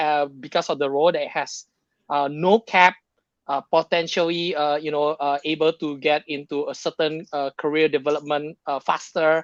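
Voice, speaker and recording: The man speaks at a moderate pace and a fairly high pitch, with monotone, flat intonation. The sound is dry and close with no echo against a quiet background. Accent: Indonesian. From Indonesia, Jakarta. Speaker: tech sales professional. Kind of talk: podcast interview. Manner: halting, many fillers.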